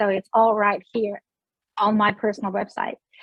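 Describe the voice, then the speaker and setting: Speaking with a Russian accent, a woman talks at a fairly high pitch. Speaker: beauty sales director. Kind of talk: interview.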